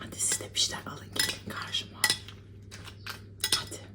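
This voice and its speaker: Whispering at a moderate pace in a relaxed tone, a woman is heard over noticeable background noise. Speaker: ASMR creator / mukbang eater. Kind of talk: casual talk to camera while eating. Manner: soft-spoken, relaxed.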